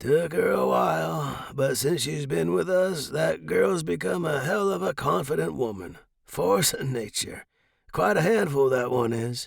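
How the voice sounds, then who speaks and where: A man puts on a raspy character voice at medium pitch, swinging very widely in pitch while keeping a moderate pace. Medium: read story. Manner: folksy, warm.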